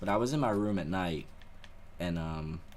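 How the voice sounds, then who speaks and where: A man speaks with ordinary pitch variation and audible room echo. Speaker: gaming YouTuber. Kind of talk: live gameplay commentary with storytelling. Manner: quiet, not loud.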